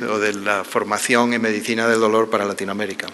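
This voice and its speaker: The speech moves at a fairly quick pace. Audible room echo and noticeable background noise come through. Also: man. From Spain. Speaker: pain medicine professor. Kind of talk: conference talk. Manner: formal.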